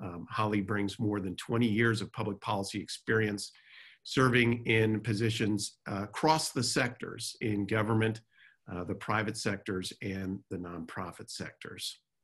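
An ordinary speaking voice at a fairly slow pace, fairly even in intonation, over a quiet background. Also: man, fairly low pitch for a man. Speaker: webinar host or moderator. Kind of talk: panel introduction. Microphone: video call.

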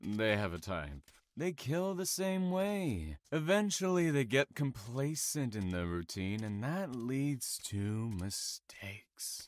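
With a calm, menacing tone, a man speaks fairly slowly at a medium pitch, his pitch swinging very widely. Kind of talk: audio drama acting. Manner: calm, mocking, menacing.

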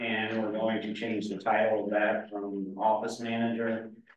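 Audible room echo and light background noise are present. A man speaks at a moderate pace in a monotone, flat intonation. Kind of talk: meeting presentation. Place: meeting room. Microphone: camera far.

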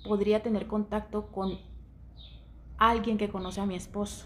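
Somewhat breathy speech comes at a fairly slow pace. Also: woman. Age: 40s. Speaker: social media gossip vlogger; content creator. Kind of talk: casual monologue. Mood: indignant, annoyed. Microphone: headset.

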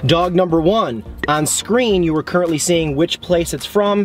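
A man speaks at a fairly high pitch and a moderate pace, with ordinary pitch variation and faint background noise.

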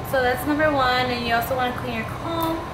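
Loud background noise behind a woman's speech. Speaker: hair vlogger. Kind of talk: tutorial. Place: home room. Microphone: phone near.

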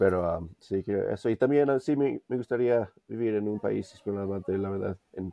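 This man talks at a moderate pace with hardly any pauses. His pitch varies in an ordinary way. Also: fairly low pitch for a man. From US, Denver; Colorado. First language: English (speaking Spanish). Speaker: language learner; interview guest. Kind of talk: interview. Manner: hesitant, many fillers. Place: home room. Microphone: video call.

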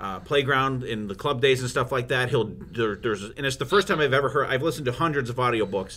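A man speaks in a bright, sharp tone. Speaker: podcast host. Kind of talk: casual chat.

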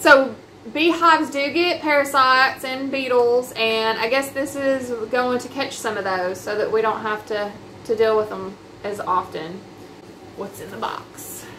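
With light background noise, a woman talks at a fairly slow pace in a high pitch, with ordinary pitch variation and long, frequent pauses. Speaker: unboxing host. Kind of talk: casual unboxing explanation. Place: home room. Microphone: camera far.

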